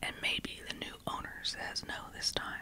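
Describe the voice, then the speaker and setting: A woman whispers at a fairly slow pace. There is noticeable background noise. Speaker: true crime ASMR creator. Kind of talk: whispered ASMR audiobook reading of a novel. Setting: home recording with some background noise. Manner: whispered, soft, slow.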